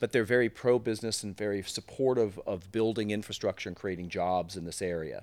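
A man speaks with an American accent at a fairly quick pace. It is an ordinary speaking voice with ordinary pitch variation. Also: fairly low pitch for a man, hardly any pauses. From US West Coast (Silicon Valley, California). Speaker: tech company executive. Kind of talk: interview.

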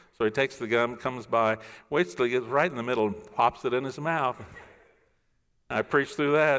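A man speaks at medium pitch and a fairly quick pace, with ordinary pitch variation. Long, frequent pauses break up his speech in a very clean recording with a silent background. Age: 60s. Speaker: pastor. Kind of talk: sermon. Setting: church.

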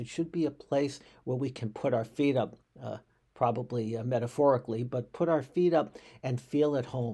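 A man's voice of medium pitch, dark, mellow tone and somewhat breathy, with ordinary pitch variation at a moderate pace, on a very clean recording with a silent background. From US Northeast, Boston. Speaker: rabbi. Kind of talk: podcast monologue, reflective commentary. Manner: halting, frequent repetitions.

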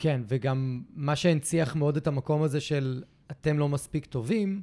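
A man's dark, mellow voice, fairly high in pitch, with ordinary pitch variation. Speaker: podcast host, dog behavior therapist. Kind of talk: casual chat.

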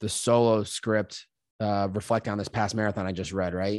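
In an American accent, a man speaks with an unremarkable speaking voice at fairly low pitch. His intonation is fairly even, and the background is quiet. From Massachusetts, US. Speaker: podcaster. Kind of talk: casual interview chat.

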